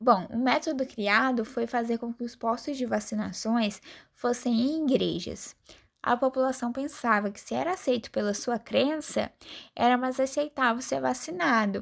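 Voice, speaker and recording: In a very clean recording with a silent background, a woman speaks at a high pitch. Her pace is moderate and her pitch variation ordinary. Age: 20s. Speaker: pharmacy student. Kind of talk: scripted school interview presentation.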